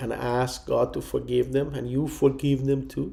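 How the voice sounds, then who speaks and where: A man with a Persian accent. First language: Farsi. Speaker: pastor. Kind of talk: testimony. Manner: halting.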